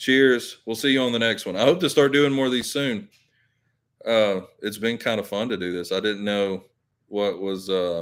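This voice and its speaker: A medium-pitched man with a Southern accent. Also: ordinary pitch variation, moderate pace. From Alabama. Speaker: YouTuber. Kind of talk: live stream chat. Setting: live stream. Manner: casual, halting.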